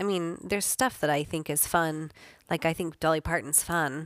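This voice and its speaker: A woman's normal speaking voice, fairly low and fairly quick with fairly even intonation, on a very clean recording with a silent background. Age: middle-aged. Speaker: guest, wife and backup singer. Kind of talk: casual interview chat.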